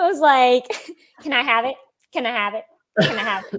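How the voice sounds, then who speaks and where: Here a woman is talking. Her voice sits high in pitch. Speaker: sponsored motocross athlete. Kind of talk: interview storytelling.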